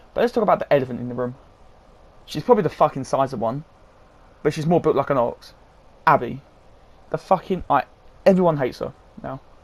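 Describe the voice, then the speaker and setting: A man with a fairly high pitch speaks at a very fast pace with lively intonation, broken by long, frequent pauses. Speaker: gaming YouTuber. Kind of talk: video game review. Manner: halting, stuttering.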